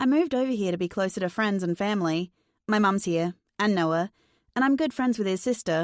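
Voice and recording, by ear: In a quiet background, the speaker is reading aloud in a natural voice.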